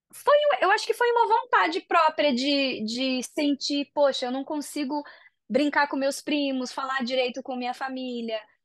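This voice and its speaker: Her intonation is lively, her pace moderate. This woman's pitch is high. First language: Japanese (speaking Portuguese). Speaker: singer and voice actress. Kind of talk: interview. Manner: casual, hesitant.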